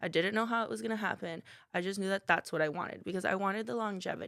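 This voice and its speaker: On a very clean recording with a silent background, a woman talks at a very fast pace in an animated tone with ordinary pitch variation. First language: not English. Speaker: salon owner and cosmetologist. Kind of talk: podcast interview.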